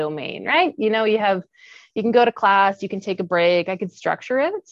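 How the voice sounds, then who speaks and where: A woman talks at a fairly quick pace with a Western Canadian accent. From Kamloops, British Columbia, Canada. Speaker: Paralympic athlete and lawyer. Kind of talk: interview.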